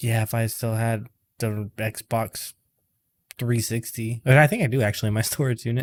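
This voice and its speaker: Soft-spoken and monotone, with flat intonation, a man talks at medium pitch and a moderate pace in a dry, close sound with no echo on a very clean recording with a silent background. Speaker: fantasy football podcast host. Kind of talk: casual chat. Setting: home loft. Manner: soft-spoken, quiet.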